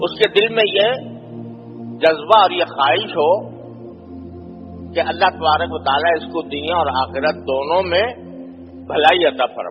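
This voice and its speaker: A man speaks with a fairly high pitch and ordinary pitch variation. Music plays in the background. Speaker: Islamic scholar giving a sermon. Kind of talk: Islamic sermon (bayan) on brotherhood of Muslims.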